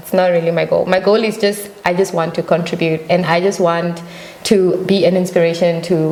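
Against noticeable background noise, a woman talks at a fairly quick pace in a fairly low pitch. Her loudness is very even and her intonation monotone and flat. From Namibia. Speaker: singer. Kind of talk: interview. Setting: studio.

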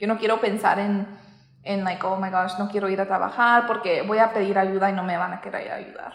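The speech moves at a fairly quick pace in a monotone, flat intonation. Noticeable background noise and audible room echo are present. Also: woman, medium pitch for a woman. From US Midwest, southwest Kansas. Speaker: dental hygienist. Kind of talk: casual interview.

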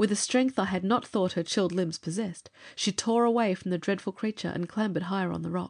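Pitch variation here is ordinary. An unforced reading voice delivers the text.

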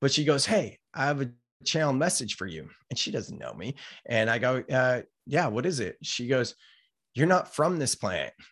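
A man with an American accent at medium pitch and moderate pace, against a quiet background. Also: lively intonation. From California, Silicon Valley. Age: 30s. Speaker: entrepreneur and author. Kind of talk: casual interview chat.

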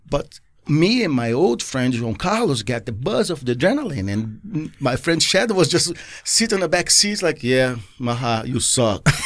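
On a very clean recording with a silent background, a man with a Portuguese accent speaks at a moderate pace and a fairly high pitch, his pitch swinging very widely. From Brazil, Rio de Janeiro. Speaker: skydiver. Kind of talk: casual interview chat. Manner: animated, laughing often.

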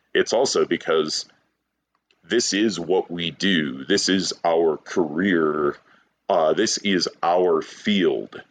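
A man with an American accent, very slow in pace and very even in loudness. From Detroit, Michigan. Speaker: brewery co-owner and brewer. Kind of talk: casual interview.

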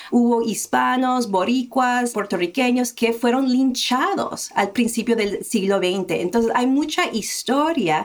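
A woman speaks at a very slow pace. Her pitch sits fairly high, with ordinary variation. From United States, small town, Colombian family. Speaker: diversity and inclusion consultant. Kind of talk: interview.

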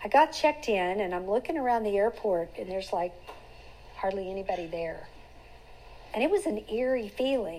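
Lively intonation at a fairly quick pace, broken by long, frequent pauses. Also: woman, medium pitch for a woman. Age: 60s. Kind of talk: devotional teaching. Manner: conversational.

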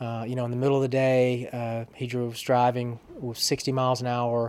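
This man's voice sits at a medium pitch and stays monotone and flat. He talks at a fairly quick pace. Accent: Alabama. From US South, small-town Alabama. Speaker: public relations professional. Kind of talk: interview, personal story. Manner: halting, many repetitions.

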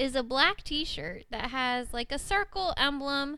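A woman speaks very slowly in a high, raised, projected voice. Her intonation is lively. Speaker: guest and host's wife. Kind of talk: casual chat.

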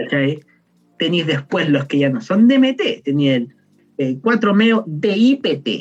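This man talks at a very slow pace with long, frequent pauses. His pitch is fairly high and swings very widely. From southern Chile, Temuco. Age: 20s. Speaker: chemistry student and harm-reduction founder. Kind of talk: casual interview.

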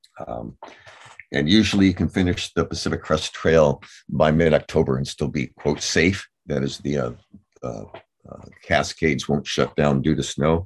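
A man speaks with a very deep, low pitch and ordinary pitch variation. Vocal fry runs through his voice. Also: moderate pace. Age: 70s. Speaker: trail angel and author. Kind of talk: casual interview, storytelling. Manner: halting, filler-heavy.

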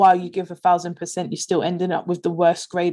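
A woman's fairly low voice with a London accent and monotone, flat intonation. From south London (Peckham). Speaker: leadership and performance coach. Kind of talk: interview conversation.

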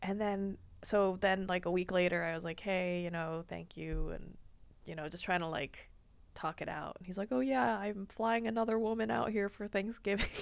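Over a very clean recording with a silent background, a woman with an American accent speaks in a normal speaking voice at a moderate pace with ordinary pitch variation. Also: medium pitch for a woman. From Washington DC area. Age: 20s. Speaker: comedian. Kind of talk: casual chat.

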